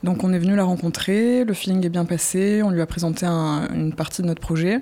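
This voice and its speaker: A woman's normal speaking voice, fairly low in pitch, at a moderate pace. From southern France. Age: young. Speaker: artist in residence. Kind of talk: documentary interview.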